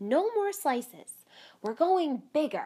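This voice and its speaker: A woman speaks in a put-on character voice, pitched high. Her pitch swings very widely. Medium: read story. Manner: brisk, pushy.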